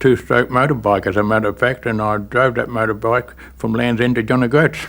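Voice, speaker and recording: Monotone, flat delivery at a moderate pace in an Australian accent. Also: man. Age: 70s. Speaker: war veteran. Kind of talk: testimony.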